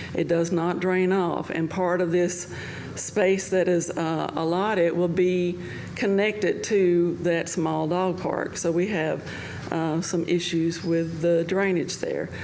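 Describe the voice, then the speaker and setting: A woman at a very slow pace, fairly low-pitched and monotone with flat intonation, very even in loudness, amid noticeable background noise and audible room echo. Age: 60s. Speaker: public commenter. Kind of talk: public comment.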